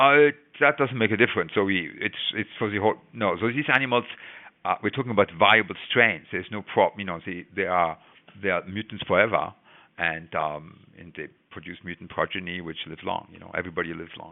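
Fairly quick and with lively intonation, a man talks in an unremarkable speaking voice at fairly low pitch. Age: 60s. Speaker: biology professor. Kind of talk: interview.

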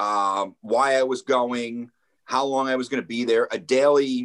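This man has a plain, everyday voice, an American accent, a medium pitch, fairly even intonation and a moderate pace. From New Jersey, Ocean County shore. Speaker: radio producer. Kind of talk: casual chat. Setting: visiting Japan.

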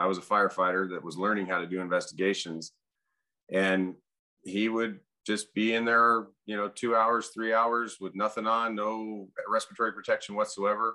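A man's bright, sharp tone at a fairly low pitch, moderate pace, and quiet background. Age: 40s. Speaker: fire captain and arson investigator. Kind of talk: casual interview. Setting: video call.

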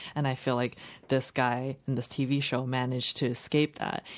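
The recording is very clean, with a silent background. A woman with a Chinese accent speaks at a moderate pace in a very deep, low pitch. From Los Angeles County, US, after early childhood in China. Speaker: fiction writer. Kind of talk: interview. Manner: halting.

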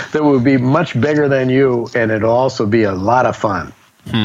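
The man's pitch sits in the medium range and varies in an ordinary way. He talks at a moderate tempo while noticeable noise fills the background. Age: 60s. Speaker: businessman turned humanitarian author and speaker. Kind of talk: interview. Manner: halting, repeats words.

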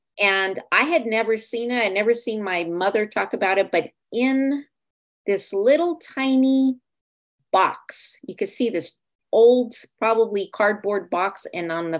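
Over a quiet background, a woman with an unremarkable speaking voice talks at a fairly slow pace in a medium pitch, her intonation lively. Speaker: podcast host and writing coach. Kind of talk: scripted intro then interview.

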